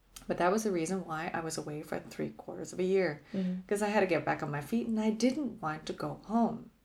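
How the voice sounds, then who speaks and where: With a Canadian accent and vocal fry, a woman talks at a very fast pace with hardly any pauses, at medium pitch and with ordinary pitch variation. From Canada, Toronto. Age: 40s. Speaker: podcast guest sharing life story. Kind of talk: casual interview.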